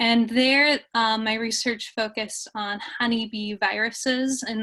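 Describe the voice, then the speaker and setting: A very slow, monotone delivery with flat intonation, a bright, sharp tone and a slight Minnesota accent over a quiet background. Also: woman. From US Midwest, Minnesota. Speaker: bee researcher. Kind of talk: lecture. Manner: hesitant, many fillers.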